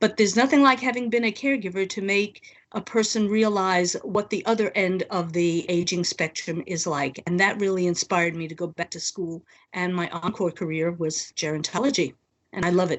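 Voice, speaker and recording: Using a plain, everyday voice, a woman talks at a fairly quick pace with a medium pitch and ordinary pitch variation. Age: 60s. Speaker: social gerontologist. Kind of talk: interview.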